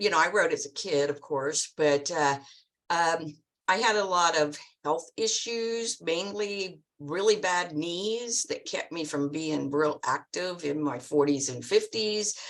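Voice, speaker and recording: Delivered at a fairly slow pace with ordinary pitch variation, this is a plain, everyday voice. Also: woman, fairly low pitch for a woman. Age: 60s. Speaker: e-bike rider, club member. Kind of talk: online panel Q&A.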